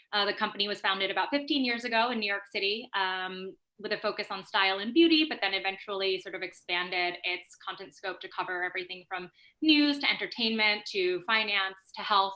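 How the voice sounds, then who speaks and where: With an American accent and an unremarkable speaking voice, a woman talks at a fairly quick pace, medium in pitch with ordinary pitch variation. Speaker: marketing executive. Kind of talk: panel discussion.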